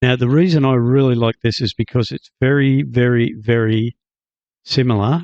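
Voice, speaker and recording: With an Australian accent and a medium pitch, a man is heard in a dry, close sound with no echo. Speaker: gaming YouTuber. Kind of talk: tutorial. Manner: casual, hesitant with fillers.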